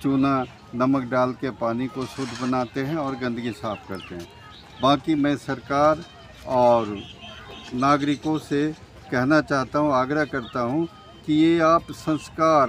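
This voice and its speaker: There is noticeable background noise. Over it, a man speaks at a fairly high pitch with ordinary pitch variation. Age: 80s+. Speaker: community festival organizer. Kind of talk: interview.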